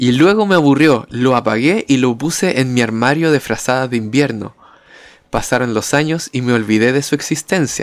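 A man talks in a Chilean accent. His loudness is very even, and his pitch varies in an ordinary way. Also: medium pitch for a man, moderate pace. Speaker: podcast co-host. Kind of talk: casual chat.

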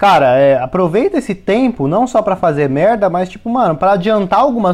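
High-pitched and fairly quick, a man's voice swings very widely in pitch. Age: 20s. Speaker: podcast co-host and YouTuber. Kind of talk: casual chat.

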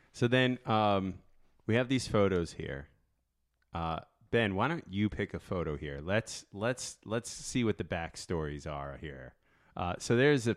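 Man with an American accent, fairly low pitch, very wide pitch swings, and a fairly slow pace, in a very clean recording with a silent background. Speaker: surf podcast host. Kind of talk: casual chat. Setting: studio. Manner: animated.

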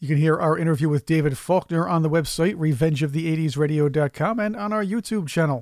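With a plain, everyday voice, a man speaks fairly quickly and fairly high, with ordinary pitch variation and hardly any pauses. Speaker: radio host. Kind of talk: radio DJ back-announcing tracks, album trivia and plugging social media between songs. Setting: studio. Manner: brisk, upbeat station-branding patter with catchphrase repetition.

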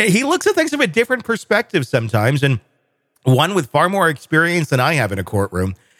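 With an American accent, a man talks very fast at a fairly high pitch, his voice swinging very widely in pitch with vocal fry and very even loudness, in a dry, close sound with no echo. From US Midwest. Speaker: podcast host. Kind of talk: casual discussion.

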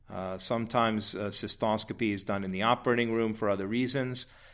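Keeping his intonation fairly even, a man delivers his words at a moderate speed. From Massachusetts. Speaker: urologist. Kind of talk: interview, medical explanation.

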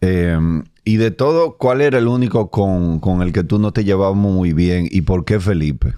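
With a Dominican accent, a man speaks at a fairly slow pace in a very deep, low pitch, his dark, mellow tone carried by lively intonation and very even loudness on a very clean recording with a silent background. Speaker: comedian and podcast host. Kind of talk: casual interview chat.

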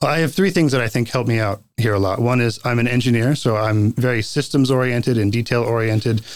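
A man with a plain, everyday voice speaks in an American accent at a medium pitch and a fairly quick pace, with hardly any pauses. His pitch variation is ordinary, his loudness very even, and the recording very clean with a silent background. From North Carolina. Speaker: city council candidate. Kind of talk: interview. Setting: studio.

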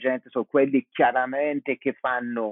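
This man speaks with an English accent. His pitch is medium. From US (Boston, Dorchester). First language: English (speaking Italian). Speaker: Italian language teacher. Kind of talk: interview. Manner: halting.

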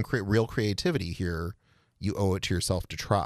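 With an American accent, a man has an unremarkable speaking voice at a fairly low pitch, captured in a very clean recording with a silent background. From Rochester, New York. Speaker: filmmaker and small business owner. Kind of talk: casual chat.

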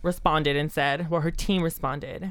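A woman with an ordinary speaking voice and ordinary pitch variation talks at a moderate pace. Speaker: podcast host. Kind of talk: casual chat.

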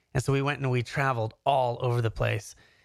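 In an ordinary speaking voice, a man with an American accent talks at a moderate pace and medium pitch, his intonation fairly even, on a very clean recording with a silent background. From Canada, then Southern California. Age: 30s. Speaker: YouTuber and serial entrepreneur. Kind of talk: casual interview chat.

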